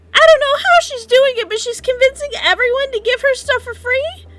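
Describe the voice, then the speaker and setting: A squeaky, put-on character voice from a woman, extremely high in pitch with ordinary pitch variation, big swings in loudness and a fairly quick pace. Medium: actual play. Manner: flustered, rambling.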